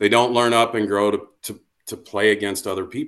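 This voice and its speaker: An unremarkable speaking voice with an American accent, at a moderate pace. The background is quiet. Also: man. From US Midwest, Iowa. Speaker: college baseball coach. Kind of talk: podcast interview.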